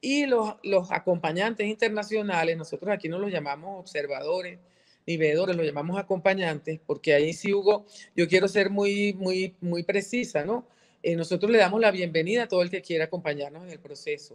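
Over a quiet background, the speaker moves at a fairly quick pace with ordinary pitch variation and big swings in loudness. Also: woman. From Venezuela. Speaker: politician and journalist; politician, journalist. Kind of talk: interview. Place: home room. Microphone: video call.

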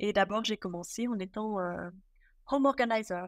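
A woman speaks in a normal speaking voice at a moderate pace, with medium pitch and ordinary pitch variation. The recording is very clean, with a silent background. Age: 40s. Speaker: professional home organizer. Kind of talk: casual interview chat.

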